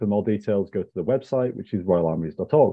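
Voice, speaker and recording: Over a quiet background, a man talks very fast at a fairly low pitch. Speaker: museum research manager hosting lecture. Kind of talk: lecture introduction. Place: home room. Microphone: earbuds.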